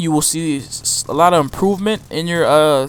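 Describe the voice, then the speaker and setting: A man with a high voice keeps a moderate speed and ordinary pitch movement while noticeable noise plays in the background. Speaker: gaming YouTuber. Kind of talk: gameplay commentary tutorial. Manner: halting, frequent fillers.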